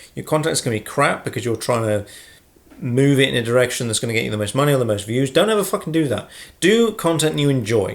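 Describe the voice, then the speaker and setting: A mumbling man at medium pitch, in a very clean recording with a silent background. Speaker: YouTuber. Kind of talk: casual Q&A vlog. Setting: sitting at home with a brew. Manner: fast.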